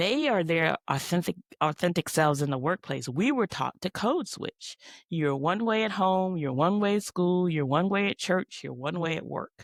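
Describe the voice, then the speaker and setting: In a normal speaking voice with an American accent, a woman talks at a moderate pace, fairly low in pitch with lively intonation, in a very clean recording with a silent background and a dry, close sound without echo. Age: 60s. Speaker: podcast co-host, teacher. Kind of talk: casual chat.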